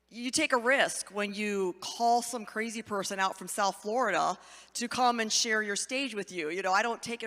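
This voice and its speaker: On a very clean recording with a silent background, a woman with an American accent speaks at a moderate pace, her fairly high pitch carrying a bright, sharp tone and ordinary pitch variation. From US Midwest, Ohio. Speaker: guest speaker. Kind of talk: testimony talk in church. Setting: church stage with audience. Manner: animated.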